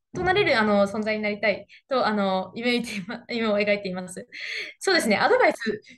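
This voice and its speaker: Against a quiet background, the voice moves at a moderate pace with ordinary pitch variation. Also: woman, fairly high pitch for a woman. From Japan. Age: young. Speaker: interview guest. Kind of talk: interview. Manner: confident. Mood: cheerful, smiling. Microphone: webcam.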